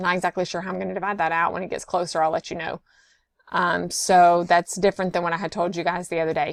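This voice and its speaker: Speaking very fast, a woman with a fairly low pitch, vocal fry, and a monotone, flat intonation comes through with a dry, close sound and no echo in a very clean recording with a silent background. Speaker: nursing instructor. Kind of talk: lecture.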